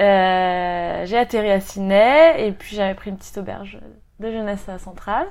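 A woman with an ordinary speaking voice talks at a medium pitch and moderate pace, with ordinary pitch variation and big swings in loudness. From Brittany, France (Rennes). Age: 30s. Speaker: expatriate, aspiring singer. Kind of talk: interview.

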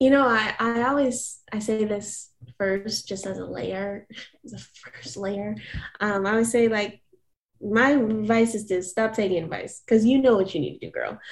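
A somewhat breathy woman's voice at a fairly high pitch, with ordinary pitch variation, big swings in loudness and a moderate pace. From US South, Atlanta area, Georgia. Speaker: R&B singer. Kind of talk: interview.

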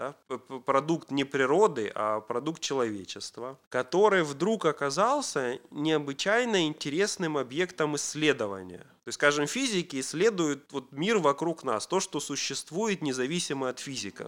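On a very clean recording with a silent background, a man speaks at a moderate pace. His fairly high pitch moves in very wide swings. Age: 40s. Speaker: programming teacher and software engineer. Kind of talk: casual chat.

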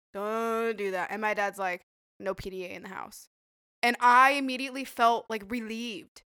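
A woman's fairly high, bright and sharp voice with an American accent and ordinary pitch variation, on a very clean recording with a silent background. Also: moderate pace, big swings in loudness. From Idaho. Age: 20s. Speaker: medical assistant and phlebotomist, former server. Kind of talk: casual chat. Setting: studio podcast recording, drinking wine.

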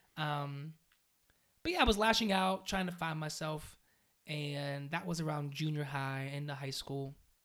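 A man speaks at a fairly slow pace in a plain, everyday voice, fairly high-pitched with ordinary pitch variation, on a very clean recording with a silent background. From western Pennsylvania (Aliquippa, near Pittsburgh). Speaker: youth worker and DJ. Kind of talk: casual interview.

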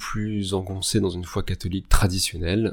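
The man speaking has a dark, mellow tone. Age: 30s. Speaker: general practitioner, podcast guest. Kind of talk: casual chat.

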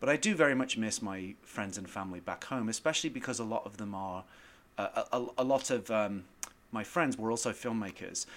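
On a very clean recording with a silent background, a man with an American accent speaks at a fairly quick pace and medium pitch with ordinary pitch variation. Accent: British with slight American twang. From northern England. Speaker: screenwriter guest. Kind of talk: casual interview and film discussion.

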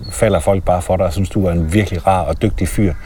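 Clear background noise accompanies a man who speaks extremely fast. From Denmark. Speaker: podcast host. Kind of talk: casual interview. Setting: outdoors walking in a forest.

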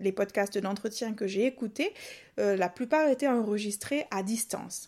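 On a very clean recording with a silent background, a woman speaks at a fairly slow pace, her pitch swinging very widely. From Réunion. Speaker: video journalist and podcast coach. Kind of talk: tutorial.

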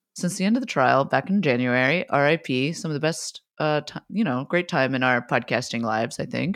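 A woman with a very deep, low voice talks at a fairly quick pace with lively intonation and hardly any pauses. The recording is very clean with a silent background. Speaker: podcast co-host. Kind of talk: casual chat.

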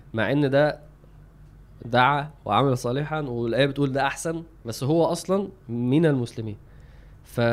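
With ordinary pitch variation, the speech moves at a moderate pace broken by long, frequent pauses. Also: man, fairly high pitch for a man. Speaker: religious podcast co-host. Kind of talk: casual chat.

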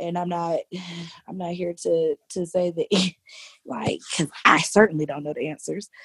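A woman with an unremarkable speaking voice talks at a moderate pace and a fairly low pitch, with ordinary pitch variation and big swings in loudness. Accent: American. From US South, Jacksonville, Florida. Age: 30s. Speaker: middle school teacher. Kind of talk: casual interview.

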